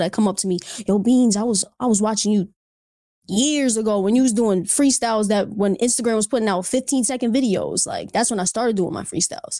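In a very clean recording with a silent background, a woman with an American accent speaks very fast, her fairly high pitch carrying a dark, mellow tone. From Reading, Pennsylvania. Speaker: rapper. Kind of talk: casual chat.

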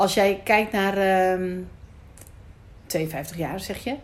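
A woman's voice of medium pitch. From Netherlands, Amsterdam Noord. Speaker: podcast host. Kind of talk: casual interview. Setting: rooftop in Amsterdam.

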